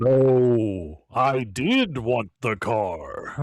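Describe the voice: A man uses a booming, put-on character voice at a medium pitch. The recording is very clean, with a silent background.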